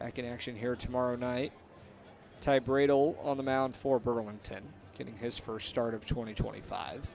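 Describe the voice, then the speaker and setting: A man speaks at a moderate pace with a medium pitch. His intonation is fairly even, in a normal speaking voice. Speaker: radio play-by-play announcer. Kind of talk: live baseball radio play-by-play.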